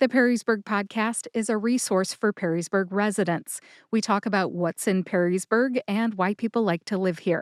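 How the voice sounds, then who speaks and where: A woman with an ordinary speaking voice talks at medium pitch and a moderate pace, with fairly even intonation and very even loudness. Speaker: podcast host. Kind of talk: podcast intro.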